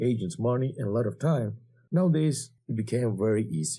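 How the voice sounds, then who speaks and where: This man speaks with a Georgian accent and lively intonation. His tone is dark and mellow, and somewhat breathy. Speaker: cyber security instructor. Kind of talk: lecture.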